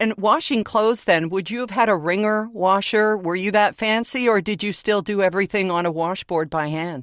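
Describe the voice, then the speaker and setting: A woman speaks in a normal speaking voice at a medium pitch and moderate pace. She shows ordinary pitch variation and hardly any pauses. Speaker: podcast host.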